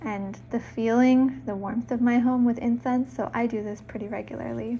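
A soft-spoken woman talks at a moderate pace and fairly high pitch with ordinary pitch variation. Her tone is dark, mellow and somewhat breathy. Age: 30s. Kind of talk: soft-spoken lifestyle vlog narration.

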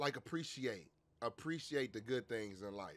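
Speaking at a moderate pace, a man uses lively intonation. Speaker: streamer. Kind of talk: casual stream chat, storytelling. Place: home room. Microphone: headset.

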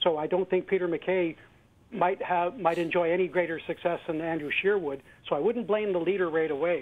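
Here a man speaks in a Canadian accent. His voice is high, and his pace is fairly quick. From Western Canada. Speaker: caller. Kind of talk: call-in comment. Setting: phone call.

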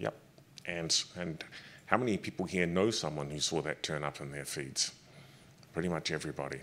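In a New Zealand accent, a man talks at a moderate pace with a very deep, low pitch, ordinary pitch variation, vocal fry, and long, frequent pauses. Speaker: government official; panelist. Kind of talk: panel discussion. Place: hall. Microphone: handheld.

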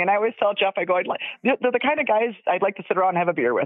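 A woman talks at a very fast pace and medium pitch. Her intonation is lively. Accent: Upper Midwest. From Wisconsin. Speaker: caller, fan of the show. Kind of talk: casual chat. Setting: phone call. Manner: animated, laughs often.

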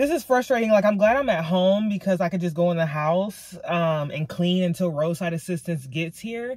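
At a moderate pace and with hardly any pauses, a woman talks in a fairly low-pitched, somewhat breathy voice, with a quiet background and a dry sound with no echo. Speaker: lifestyle vlogger. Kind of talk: casual vlog chat. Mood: frustrated but chatty. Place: car. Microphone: phone near.

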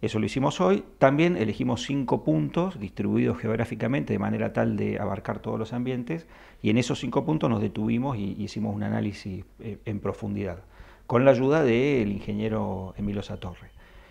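Speaking fairly quickly, a man with a dark, mellow tone and fairly low pitch shows lively intonation and vocal fry. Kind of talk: interview answer. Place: office. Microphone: handheld.

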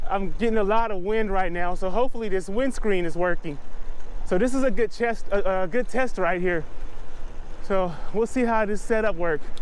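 A man's high voice at a moderate pace, with ordinary pitch variation and very even loudness, over light background noise. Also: dry sound with no echo. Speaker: cyclist vlogger. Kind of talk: casual vlog chat. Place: bicycle. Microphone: lapel.

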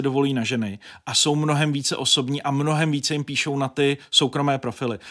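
Against a quiet background, a man talks at a moderate pace with fairly high pitch and monotone, flat intonation. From northern Bohemia, Děčín; northern Bohemia. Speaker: journalist and editor-in-chief; journalist. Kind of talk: interview. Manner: talkative, rambling with fillers. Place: studio. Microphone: studio mic.

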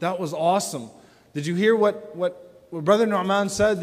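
High pitch from a man, with ordinary pitch variation. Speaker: speaker. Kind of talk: lecture. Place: hall. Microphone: lapel.

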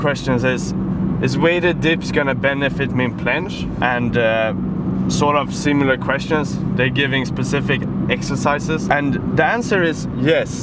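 A man at a moderate pace, with long, frequent pauses, loud background noise and a dry sound with no echo. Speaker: fitness vlogger. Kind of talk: casual vlog chat. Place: car.

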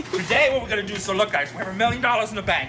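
A man is talking while noticeable noise carries on behind him. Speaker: storage-auction reseller. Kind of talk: casual vlog chat. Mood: upbeat, joking. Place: street. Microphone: phone near.

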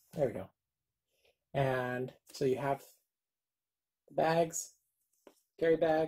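Pausing long and often, a woman talks at a very slow pace in a very deep, low voice with a dark, mellow tone and ordinary pitch variation. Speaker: YouTuber doing product unboxings. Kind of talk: unboxing video. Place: home room. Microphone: phone near.

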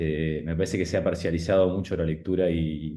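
A man talks at a fairly quick pace with a dark, mellow tone. His intonation stays fairly even. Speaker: audience member asking question; audience member. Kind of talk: academic Q&A. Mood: thoughtful, critical. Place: kitchen. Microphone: webcam.

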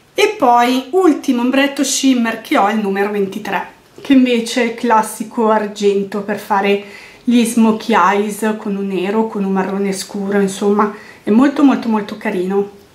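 A woman speaks at a fairly slow pace and fairly high pitch. Her intonation is fairly even, with noticeable background noise behind her. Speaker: beauty vlogger. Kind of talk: product review monologue.

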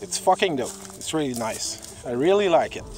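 Faint music plays in the background behind a man with a French Canadian accent. The sound is dry, with no echo. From Quebec, Canada. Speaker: drone hobbyist vlogger. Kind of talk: casual vlog talk to camera. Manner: hesitant, many filler sounds. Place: forest. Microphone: phone near.

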